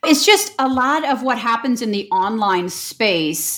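A woman with a Midwestern American accent and lively intonation. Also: very clean recording, silent background. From US Midwest, St. Louis. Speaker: online business coach. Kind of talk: interview.

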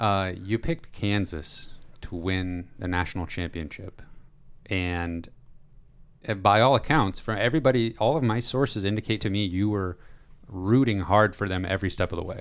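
The recording is very clean with a silent background as a man talks at a moderate speed. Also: ordinary pitch variation. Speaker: podcast host. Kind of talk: casual chat. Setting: studio.

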